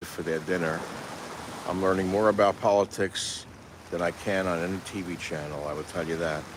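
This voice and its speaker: A man with a very deep, low voice and an American accent, with noticeable background noise. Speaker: radio talk show host. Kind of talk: talk show monologue. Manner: casual, rambling.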